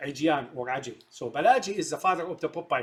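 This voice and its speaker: A man with an Arabic accent speaks in a somewhat breathy voice. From Syria. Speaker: film commentator. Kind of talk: monologue commentary. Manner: halting, many fillers.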